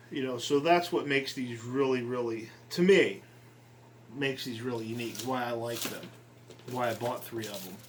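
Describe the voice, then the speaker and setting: At a moderate pace with long, frequent pauses, a man of medium pitch and ordinary pitch variation speaks with big swings in loudness amid audible room echo. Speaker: scale model hobbyist. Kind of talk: unboxing video. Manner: hesitant, many ums.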